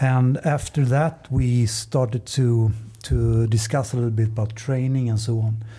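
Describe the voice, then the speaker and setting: A man with a Swedish accent speaks at a fairly slow pace and medium pitch, somewhat breathy, with a dark, mellow tone, fairly even intonation and very even loudness. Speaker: paddling coach. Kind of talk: casual chat.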